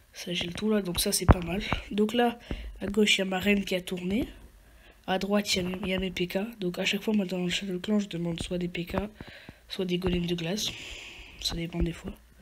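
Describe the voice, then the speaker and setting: A woman's medium-pitched, monotone delivery with flat intonation, fairly quick between long, frequent pauses, over noticeable background noise. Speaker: gaming YouTuber. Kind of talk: gameplay tutorial commentary. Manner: halting, many fillers and repetitions.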